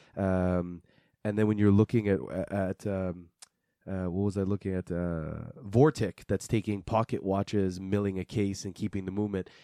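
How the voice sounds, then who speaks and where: A man with a Quebec accent talks at a moderate pace, his pitch fairly low and his intonation fairly even. His tone is dark and mellow, and the sound is dry and close with no echo. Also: very clean recording, silent background. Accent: Quebec French-Canadian. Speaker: watch podcast co-host. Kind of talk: casual chat.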